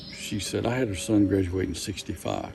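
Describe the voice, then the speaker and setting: Over noticeable background noise, a man with an Appalachian accent talks at a fairly quick pace with ordinary pitch variation. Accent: Southern Appalachian US. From US South, western North Carolina (Asheville, Fairview). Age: 70s. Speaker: interviewee telling family story. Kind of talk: personal testimony in documentary.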